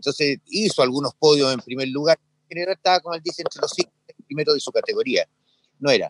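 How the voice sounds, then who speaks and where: The speech comes at a very fast pace with big swings in loudness. The sound is dry and close, with no echo. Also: man. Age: 70s. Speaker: ski instructor. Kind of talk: casual interview.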